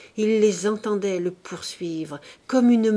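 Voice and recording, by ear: Words are read aloud here in a natural voice.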